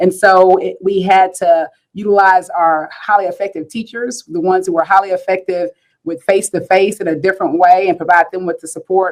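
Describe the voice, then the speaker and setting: Fairly even intonation delivered at a fairly quick pace. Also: woman, medium pitch for a woman. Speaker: school district superintendent. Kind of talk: panel discussion. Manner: fast.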